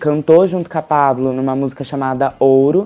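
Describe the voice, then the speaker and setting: A woman's very deep, low-pitched voice. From Brazil, Paraná (Arapongas). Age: 20s. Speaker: makeup artist. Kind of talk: casual interview chat. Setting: at home, drinking beer.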